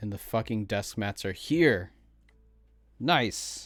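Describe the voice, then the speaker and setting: A man with an American accent speaks over music in the background. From New Jersey, US. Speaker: streamer. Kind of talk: casual chat. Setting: live stream. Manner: loud.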